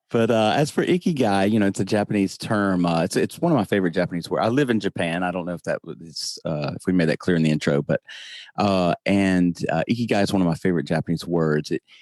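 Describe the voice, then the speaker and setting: Talking at a very fast pace with ordinary pitch variation, a man with a Southern US accent has a very deep, low pitch, recorded dry and close with no echo, very clean, with a silent background. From US South. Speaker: podcast host. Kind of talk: interview. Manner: calm, humorous.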